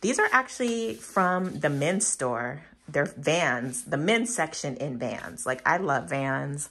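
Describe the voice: A woman speaks slowly at a low pitch, with a fairly bright tone and lively intonation.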